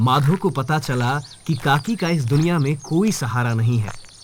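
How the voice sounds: Speaking at a moderate pace, a man uses a medium pitch. His intonation is lively.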